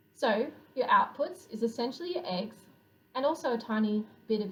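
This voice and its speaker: Her intonation is lively and her pitch fairly high. The woman talks at a moderate pace. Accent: Australian. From Australia. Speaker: poultry researcher. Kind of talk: scientific conference presentation.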